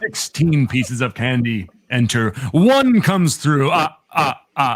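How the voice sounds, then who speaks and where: A man performs a put-on character voice. His pitch is medium. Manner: theatrical, gloating.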